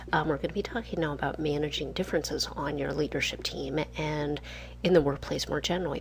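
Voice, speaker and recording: A woman is speaking. She is soft-spoken. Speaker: leadership instructor. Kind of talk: lecture.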